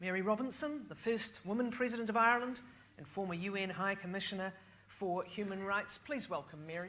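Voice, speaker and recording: Heard with audible room echo, a woman of medium pitch speaks at a fairly quick pace with ordinary pitch variation. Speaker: panel moderator. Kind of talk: moderated panel discussion. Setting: stage with audience.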